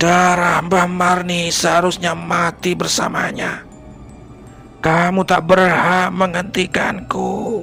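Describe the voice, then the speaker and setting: A man's put-on character voice, high-pitched and shrill, at a very slow pace over clear background music. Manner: furious, menacing.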